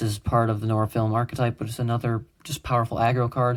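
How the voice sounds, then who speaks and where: Somewhat breathy, a man talks at a medium pitch. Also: very clean recording, silent background. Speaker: YouTuber showing his homemade card game. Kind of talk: casual card game walkthrough. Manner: fast; casual with many fillers.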